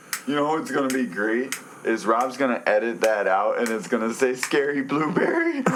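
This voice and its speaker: A man's medium-pitched voice, with ordinary pitch variation and a moderate pace, comes through noticeable background noise and audible room echo. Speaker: podcast co-host. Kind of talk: casual chat. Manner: loud.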